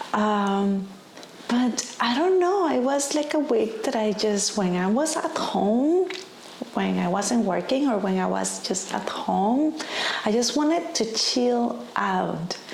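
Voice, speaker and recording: Speaking very slowly with a Spanish accent, a woman uses a fairly high voice with very wide pitch swings but very even loudness. Audible room echo and noticeable background noise surround her. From Costa Rica. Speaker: lifestyle vlogger. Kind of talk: casual vlog talk to camera.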